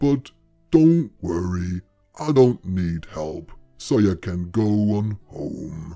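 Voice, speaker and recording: Faint music plays behind a man doing a put-on character voice, very slowly and at a fairly low pitch. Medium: read story. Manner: blunt, gruff, dry.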